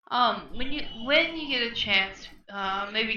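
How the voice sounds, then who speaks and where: Lively in intonation, a woman speaks with audible room echo. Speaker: guest viewer joining a crafting stream. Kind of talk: casual chat.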